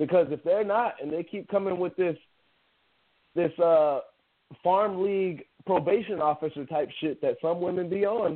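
Long, frequent pauses break up a man's speech at a moderate pace. He has an American accent and a high pitch with ordinary variation. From Central Valley, California. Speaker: boxing podcast host. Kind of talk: casual banter podcast. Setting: at home, remote.

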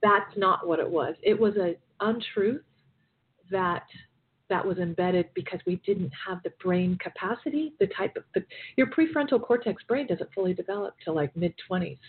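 An unremarkable speaking voice from a woman, medium in pitch, lively in intonation, moderate in pace. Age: 40s. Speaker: life coach and keynote speaker. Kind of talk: interview.

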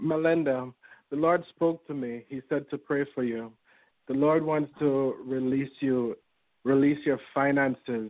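A man speaks at a fairly slow pace in a plain, everyday voice. His medium pitch holds a fairly even intonation. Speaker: prayer participant. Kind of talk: fervent prayer, commanding and declaring. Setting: phone conference line. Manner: intense, forceful, repeating commands.

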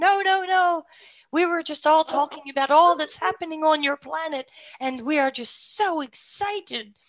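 A put-on character voice, high-pitched, at a moderate pace. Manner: excited, enthusiastic.

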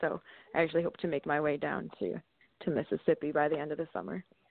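In a normal speaking voice with an American accent, a woman talks at a fairly quick pace. Her pitch variation is ordinary. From Sussex County, northern New Jersey. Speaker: singer and musician. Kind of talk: casual interview.

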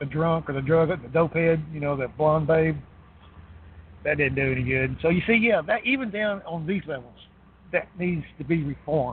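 Here is a man with an unremarkable speaking voice, pitched fairly high. He moves at a moderate pace with ordinary pitch variation. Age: 50s. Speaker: regular caller on political talk show. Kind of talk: casual political chat.

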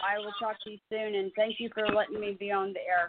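A normal speaking voice from a woman, moderate in pace and fairly high in pitch. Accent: American. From South Carolina. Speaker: caller. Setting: phone call.

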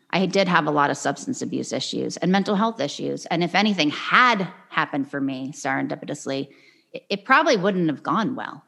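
A woman talks at a fairly quick pace with vocal fry and very wide pitch swings. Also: fairly low pitch for a woman. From New England. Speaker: singer. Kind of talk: casual interview chat.

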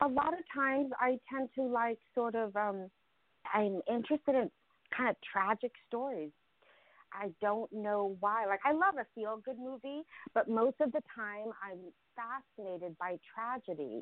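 With a plain, everyday voice, a woman talks at a fairly slow pace, her fairly high pitch moving in lively intonation. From Ukraine, raised in US from age seven. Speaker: actor and filmmaker. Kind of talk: interview.

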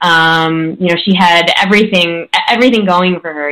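Speaking in a Chicago accent, a woman has a fairly low pitch. Her tone is bright and sharp, and she talks fairly slowly. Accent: Chicago American English. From US Midwest, Chicago. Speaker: coach and author. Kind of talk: interview.

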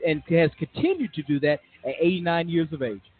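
A man's fairly high voice, with ordinary pitch variation, plays out against background music. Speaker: radio co-host. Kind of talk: radio panel discussion.

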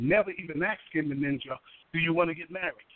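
A man with an American accent and an unremarkable speaking voice, fairly high-pitched, fairly quick, with fairly even intonation. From New York City (Harlem). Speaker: pastor and author. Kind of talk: radio interview.

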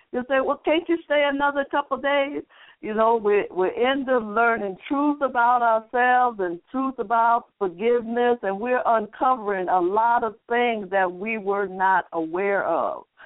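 Music plays behind a woman with a fairly high pitch and lively intonation. She speaks at a moderate pace with hardly any pauses. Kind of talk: bible teaching. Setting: phone-in internet radio broadcast.

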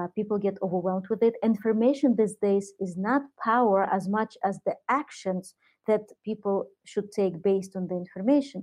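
Against a quiet background, a woman with a Russian accent talks at a moderate pace and medium pitch with ordinary pitch variation. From Soviet Union. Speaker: entrepreneur and author. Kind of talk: interview. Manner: hesitant, many fillers.

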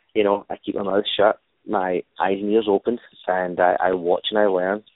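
A man speaks with a Glaswegian accent. His voice is fairly low and his intonation is monotone and flat. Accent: Glaswegian Scottish. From Scotland, Glasgow. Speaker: stuntman and stunt choreographer. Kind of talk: interview.

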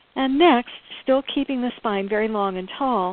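Here is a woman with a plain, everyday voice. She uses ordinary pitch variation. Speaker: radio host. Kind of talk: guided eye exercise, calm instructional cueing. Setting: studio, online radio show. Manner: slow, soothing, measured, step-by-step.

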